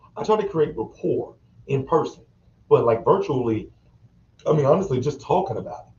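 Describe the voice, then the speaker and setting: Somewhat breathy, this man talks at a fairly quick clip. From US South, North Carolina. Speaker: librarian. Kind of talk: interview. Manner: animated.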